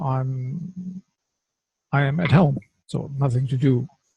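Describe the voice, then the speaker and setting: The voice is somewhat breathy, with a dark, mellow tone and a German accent, and the pace is very slow. The sound is dry and close with no echo. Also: man. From Germany. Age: 50s. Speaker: qigong teacher, former firefighter. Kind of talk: personal testimony. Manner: halting, searching for English words.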